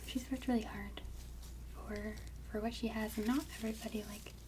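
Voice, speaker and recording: A soft-spoken voice in a relaxed tone moves at a fairly slow pace. Noticeable background noise sits behind it. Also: woman. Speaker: ASMR content creator. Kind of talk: casual talk to camera. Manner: soft-spoken, relaxed.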